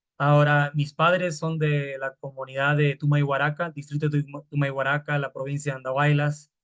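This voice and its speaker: A man's fairly high-pitched voice at a moderate pace, monotone and flat in intonation, with hardly any pauses. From Peru, Lima (San Juan de Lurigancho). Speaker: hip hop artist. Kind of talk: panel talk. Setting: video call. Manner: halting.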